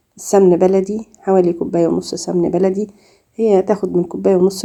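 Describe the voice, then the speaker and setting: In an Egyptian accent, a woman speaks at a moderate pace with a medium pitch, a dark, mellow tone and flat, monotone intonation. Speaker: cooking YouTuber. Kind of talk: cooking tutorial. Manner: halting, many fillers.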